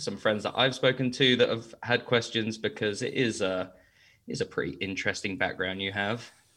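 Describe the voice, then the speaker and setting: A man's medium-pitched voice at a moderate pace. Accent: English. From England. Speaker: guest asking listener questions.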